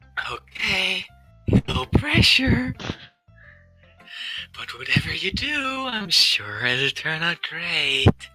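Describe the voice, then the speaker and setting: A man's put-on character voice, high-pitched, with very wide pitch swings, at a very slow pace over faint background music. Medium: fan dub. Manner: confident, teasing.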